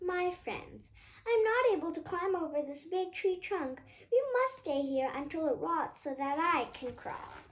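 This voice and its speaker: A put-on character voice from a woman, pitched extremely high and moving at a moderate pace. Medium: read story.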